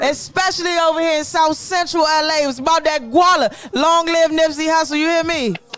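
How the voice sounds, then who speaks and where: Noticeable background noise runs throughout. The talking goes at a fairly quick pace. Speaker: podcast host. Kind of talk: casual chat.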